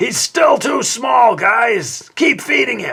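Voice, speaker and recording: Using a put-on character voice, the speaker talks very slowly in a raspy, fairly high pitch. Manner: funny, exaggerated.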